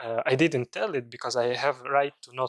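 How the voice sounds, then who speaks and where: A man with a Russian accent talks at a medium pitch, the sound dry and close with no echo. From Komi Republic, Russia. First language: Komi. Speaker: language activist. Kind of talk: interview. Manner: halting.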